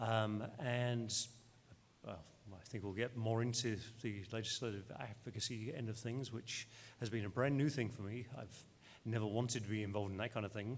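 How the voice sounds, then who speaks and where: A man speaks with an English accent at medium pitch. His pace is moderate and his intonation fairly even. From England. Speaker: clinical social worker, clinic owner. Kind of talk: panel discussion.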